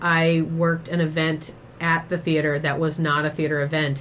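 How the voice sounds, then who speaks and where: A woman with a fairly low pitch speaks at a moderate pace in a plain, everyday voice. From Boston. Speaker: podcast host and improv teacher. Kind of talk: casual interview chat.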